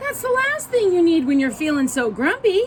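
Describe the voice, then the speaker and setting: In a squeaky, put-on character voice, a woman speaks at a moderate pace with an extremely high pitch and very wide pitch swings. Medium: read story. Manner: gentle, friendly.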